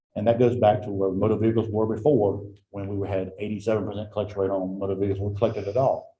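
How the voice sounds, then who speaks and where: In an American accent, a somewhat breathy man speaks very fast in a monotone, flat delivery at a fairly low pitch, with audible room echo. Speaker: county tax administrator. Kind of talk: report to a county board.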